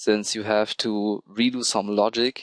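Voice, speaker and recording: Against a quiet background, a man speaks at medium pitch in a flat monotone at a fairly slow pace, with a dry, close sound and no echo. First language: not English. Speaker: programming tutorial creator. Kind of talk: tutorial. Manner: hesitant, with filler ums.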